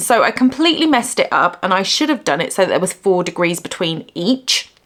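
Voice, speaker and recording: A woman speaks with a British accent. Her tone is animated. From UK. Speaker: crochet YouTuber. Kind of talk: casual vlog talk to camera. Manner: chatty, animated.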